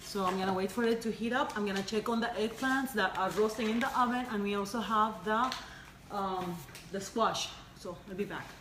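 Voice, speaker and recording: A woman speaks fairly quickly at a fairly high pitch, her intonation fairly even, with audible room echo and noticeable background noise. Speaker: home cooking show host. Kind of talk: live cooking demonstration. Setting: kitchen livestream. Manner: casual, hesitant with fillers.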